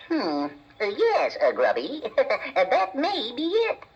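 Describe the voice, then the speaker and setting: A put-on character voice, high in pitch, goes along at a very slow pace. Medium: audio drama. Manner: halting, stammering.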